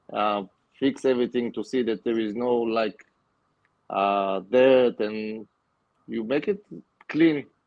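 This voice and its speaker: At a very slow pace, a man speaks at medium pitch with ordinary pitch variation. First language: not English. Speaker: aquascaper and aquatic plant grower. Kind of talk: casual interview. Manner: halting.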